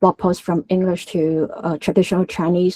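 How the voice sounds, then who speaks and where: In a Hong Kong accent, a woman speaks at medium pitch with a dark, mellow tone and a dry, close sound that has no echo. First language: Cantonese. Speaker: tech conference speaker. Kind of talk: technical talk. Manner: halting, many fillers.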